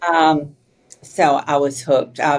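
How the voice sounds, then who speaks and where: A woman speaks with an Arkansas accent and a very deep, low pitch. Her intonation stays fairly even. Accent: Arkansas Southern. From Arkansas, US South. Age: 70s. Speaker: author and entrepreneur. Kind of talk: interview conversation.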